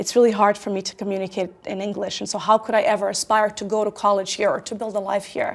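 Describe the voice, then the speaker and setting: A woman with a Croatian accent speaks at a very fast pace in a medium pitch, with hardly any pauses. Her intonation is monotone and flat. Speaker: tech company founder and CEO. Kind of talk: interview.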